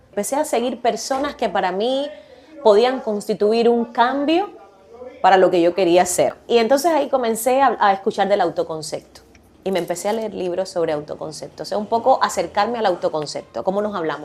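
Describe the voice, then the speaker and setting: With lively intonation and medium pitch, a woman talks at a fairly quick pace against noticeable background noise. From Cuba. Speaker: podcast guest, communicator. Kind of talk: casual interview chat. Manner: animated, laughs a lot.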